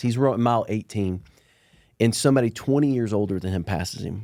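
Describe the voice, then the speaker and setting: In a Southern US accent, a man talks at a fairly quick pace with a fairly low pitch, a dark, mellow tone and ordinary pitch variation, on a very clean recording with a silent background. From Alabama. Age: 40s. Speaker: entrepreneur. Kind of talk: podcast interview. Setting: studio.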